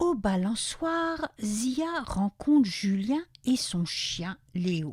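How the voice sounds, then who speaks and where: The recording is very clean, with a silent background. A woman's pitch swings very widely as she talks. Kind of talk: children's story read-aloud.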